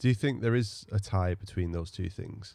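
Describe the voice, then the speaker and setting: The man's voice has a dark, mellow tone. His pitch varies in an ordinary way. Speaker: poet and podcast co-host. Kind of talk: casual interview conversation.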